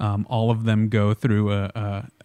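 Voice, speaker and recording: A man talks in a fairly low pitch with monotone, flat intonation. The recording is very clean, with a silent background. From Switzerland. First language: Swiss German. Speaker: wine school director. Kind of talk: interview. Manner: hesitant, many fillers.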